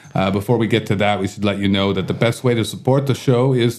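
An unremarkable speaking voice comes from a man talking at a fairly quick pace. His intonation stays fairly even. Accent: Canadian. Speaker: podcast host and bar owner. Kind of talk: casual interview chat. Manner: jokey, laughs often.

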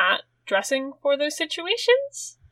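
A woman with a British accent speaks in a bright, sharp tone. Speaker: podcast host. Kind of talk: casual chat.

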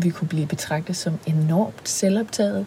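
Somewhat breathy, fairly low female voice with a dark, mellow tone and ordinary pitch variation. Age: 30s. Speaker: podcast co-host, singer and sexologist. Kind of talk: casual chat. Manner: hesitant, many fillers.

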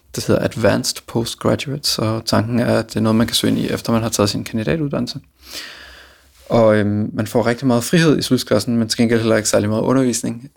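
Very fast and fairly even in intonation, a man talks at medium pitch. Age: 20s. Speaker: classical guitarist. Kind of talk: interview.

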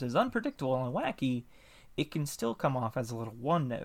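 A man with a Southern US accent speaks in a medium pitch with ordinary pitch variation, recorded very cleanly over a silent background. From US South. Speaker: podcast host interviewer. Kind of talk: casual interview chat.

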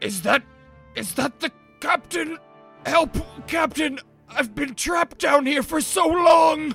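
A high-pitched, put-on character voice goes at a fairly slow pace with long, frequent pauses. Faint music plays in the background. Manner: pleading, distressed, deceptive.

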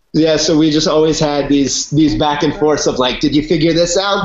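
A man's fairly high voice with an American accent, a normal speaking voice at a moderate pace. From Virginia, US. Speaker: reality TV race contestant. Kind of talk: casual chat.

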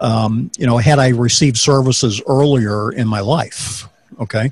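A man speaks at a medium pitch with ordinary pitch variation. His tone is slightly mellow with a slightly husky edge.

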